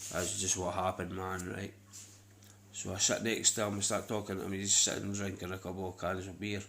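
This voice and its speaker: Flat, monotone delivery in a Scottish accent at a fairly quick pace. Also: man, very deep, low pitch for a man. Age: 30s. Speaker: vlogger. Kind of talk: casual monologue. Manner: rambling, repetitive.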